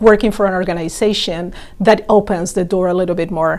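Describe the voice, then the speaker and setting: A woman with a Latin American accent speaks at a medium pitch against noticeable background noise. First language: Spanish. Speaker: organ donation outreach worker. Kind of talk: interview.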